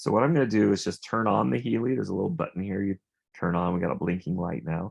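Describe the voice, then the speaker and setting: A man talks with a very deep, low pitch and vocal fry. His pitch swings are very wide. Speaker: wellness device presenter. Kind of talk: product demonstration.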